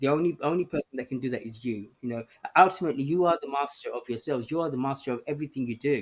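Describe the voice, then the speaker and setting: At a very fast pace, a man speaks in a fairly high voice with ordinary pitch variation. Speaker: campaigner and guest. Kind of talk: casual interview chat. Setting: outdoors on a lawn. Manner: halting, repeating words.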